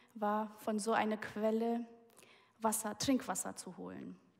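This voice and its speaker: This woman has a fairly high pitch and a somewhat breathy voice. She talks at a fairly slow pace with fairly even intonation. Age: 20s. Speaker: guest preacher. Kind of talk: sermon.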